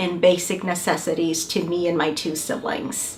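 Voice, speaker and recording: A medium-pitched woman with a Spanish accent talks amid noticeable background noise and audible room echo. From Mexico, Mexicali, Baja California border. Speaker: university administrator. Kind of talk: welcome speech.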